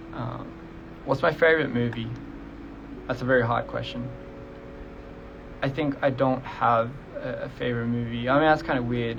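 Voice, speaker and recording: A man's fairly evenly intoned speech, broken by long, frequent pauses, with audible room echo. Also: medium pitch for a man, moderate pace. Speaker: musician streaming live to fans. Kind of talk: casual livestream Q&A. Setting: Instagram live stream. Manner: casual, hesitant with fillers.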